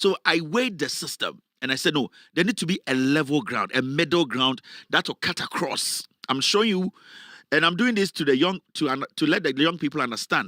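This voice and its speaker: Speaking fairly quickly with a Ghanaian accent, a man sounds animated, using lively intonation, a bright, sharp tone and a fairly high pitch, on a very clean recording that is dry and close with no echo and a silent background. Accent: Ghanaian, kept on purpose. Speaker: political commentator, online show host. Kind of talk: live political commentary.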